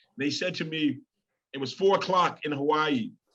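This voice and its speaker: Music in the background behind a man's fairly high pitch and ordinary pitch variation. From Baltimore, Maryland (Park Heights). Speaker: motivational speaker and professor. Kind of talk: inspirational talk on a video call. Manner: animated, lots of fillers and repetitions.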